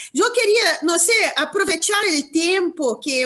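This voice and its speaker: Against a quiet background, a woman with a Portuguese accent talks at a very slow pace with lively intonation. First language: Portuguese (speaking Spanish). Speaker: law professor. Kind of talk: academic Q&A question. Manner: halting.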